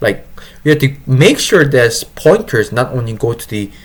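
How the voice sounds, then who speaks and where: A man speaks in a somewhat breathy voice. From Korea. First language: Korean. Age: 20s. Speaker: software engineer. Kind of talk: casual tutorial. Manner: halting, many self-corrections.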